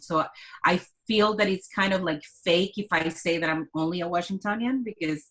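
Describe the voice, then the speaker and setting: Someone with a Mexican accent talks at a moderate pace. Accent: Mexican Spanish accent, moderate to thick. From Mexico, Culiacan. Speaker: artist and curator. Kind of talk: casual interview conversation.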